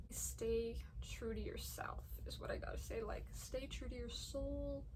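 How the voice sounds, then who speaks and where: A woman speaks with noticeable background noise. Room echo is audible. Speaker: vlogger. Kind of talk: casual monologue. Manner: halting, repeats words. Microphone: poor audio quality.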